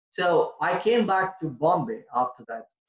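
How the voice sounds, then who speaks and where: With a Tamil accent, a high-pitched man speaks with lively intonation. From India. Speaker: public speaking trainer. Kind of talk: online workshop presentation.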